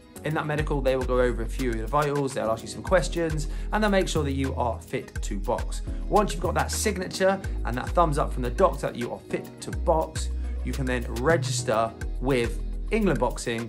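A man talks at a fairly quick pace with clear music playing in the background. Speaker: boxing coach. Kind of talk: tutorial. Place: gym. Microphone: phone near.

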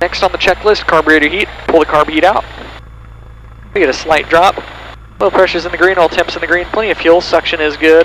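Amid noticeable background noise, a man speaks at a fairly quick pace, his fairly high pitch held in fairly even intonation. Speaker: student pilot vlogger. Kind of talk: solo flight narration. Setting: cockpit of small plane. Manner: methodical, matter-of-fact.

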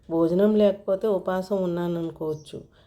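What you hear is a natural reading voice.

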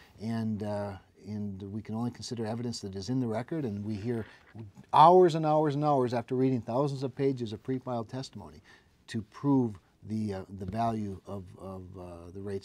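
A man with an Upper Midwest accent speaks at a fairly quick pace with a fairly low pitch. His pitch varies in an ordinary way while his loudness swings widely. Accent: Upper Midwest American. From North Dakota, Cass County; North Dakota. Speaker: state utility regulator and politician; politician. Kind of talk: interview. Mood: calm, measured, explanatory. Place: studio.

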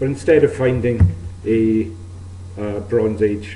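Over light background noise and audible room echo, a man talks at a fairly low pitch with fairly even intonation. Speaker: archaeologist. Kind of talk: lecture. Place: hall.

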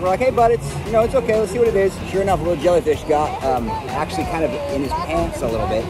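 A man speaks at a very fast pace in a dry sound with no echo, with crowd noise in the background. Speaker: family travel vlogger. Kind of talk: casual vlog chat.

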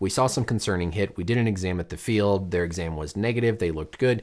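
Against a quiet background, a man talks at a very fast pace. His fairly low pitch moves with ordinary variation. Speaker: doctor commentator. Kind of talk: commentary. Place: studio.

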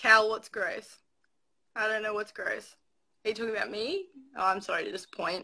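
A woman with an Australian accent at a moderate pace, with long, frequent pauses, against a quiet background. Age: 20s. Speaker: livestreamer; live streamer. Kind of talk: casual chat. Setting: video call. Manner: giggly. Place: home room. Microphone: phone near.

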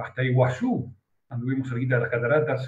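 A man's somewhat breathy voice amid audible room echo. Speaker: radio host. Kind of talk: broadcast interview. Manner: formal. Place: office. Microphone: video call.

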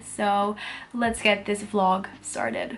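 The woman talks with fairly even intonation. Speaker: vlogger. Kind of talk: casual vlog chat. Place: home room. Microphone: phone near.

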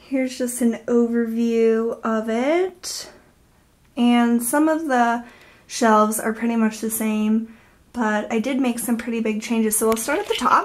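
Fairly slow delivery with fairly even intonation. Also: woman. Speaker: organizing vlogger. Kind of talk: casual vlog chat. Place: bathroom. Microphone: phone near.

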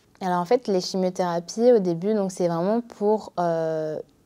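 A woman speaks with a dark, mellow tone. Her intonation is fairly even and her pace moderate. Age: 20s. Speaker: medical student. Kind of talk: interview testimony. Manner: hesitant, many fillers. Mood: calm, reflective about her illness. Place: studio.

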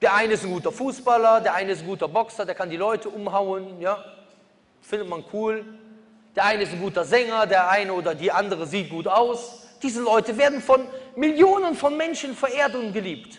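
This man talks at a fairly quick pace in a high voice. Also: ordinary pitch variation. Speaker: preacher. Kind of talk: sermon. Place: hall. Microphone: podium.

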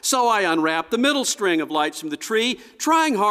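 A natural voice reading text aloud

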